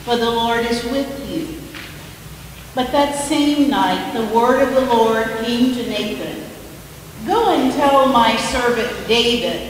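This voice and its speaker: A woman's high pitch at a very slow pace, with ordinary pitch variation, strong room echo and light background noise. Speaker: scripture reader. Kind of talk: scripture reading. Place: church. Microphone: podium.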